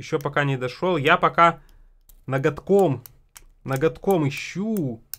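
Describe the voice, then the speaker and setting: A man at a fairly high pitch with ordinary pitch variation, speaking at a very slow pace with long, frequent pauses. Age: 20s. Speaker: accordion teacher and video blogger; music channel host. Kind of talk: casual tutorial. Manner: conversational, repetitive. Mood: relaxed, mildly exasperated. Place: home room. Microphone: studio mic.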